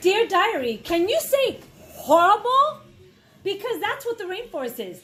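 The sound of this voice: In a put-on character voice, a woman talks at a fairly slow pace with an extremely high pitch, a fairly bright tone and big pitch swings.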